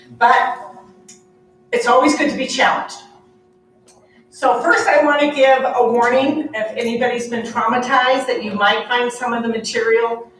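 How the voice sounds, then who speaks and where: With noticeable background noise and audible room echo, a woman speaks at a moderate pace and a high pitch, using fairly even intonation and long, frequent pauses. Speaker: nurse practitioner and nursing professor. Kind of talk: conference presentation.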